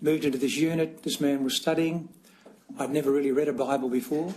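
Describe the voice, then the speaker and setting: Fairly high for a man, his dark, mellow voice keeps a fairly even intonation in an Australian accent. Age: 60s. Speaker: church elder testifying as witness. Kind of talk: testimony. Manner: halting.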